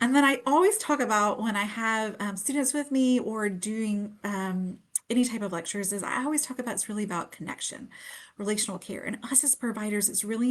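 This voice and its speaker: A woman's fairly high, somewhat breathy voice at a very fast pace, with ordinary pitch variation and a quiet background. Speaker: pediatric nurse practitioner. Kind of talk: webinar presentation. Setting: Facebook live stream.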